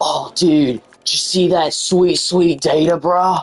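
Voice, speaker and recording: In a put-on character voice at a middle pitch, the speaker goes at a fairly slow pace. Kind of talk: casual slang. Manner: laid-back, casual, like a commercial voiceover.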